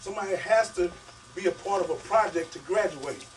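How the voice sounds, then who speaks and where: Noticeable background noise sits behind this recording. A man with a high pitch speaks at a fairly quick pace. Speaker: author giving a publishing workshop. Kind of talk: workshop talk to an audience. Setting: bookstore event with audience. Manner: fast; animated.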